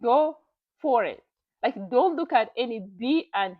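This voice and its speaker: A woman with a non-native accent speaks in an animated tone at a fairly high pitch. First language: not English. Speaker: YouTuber reading and commenting on online stories. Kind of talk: casual motivational commentary.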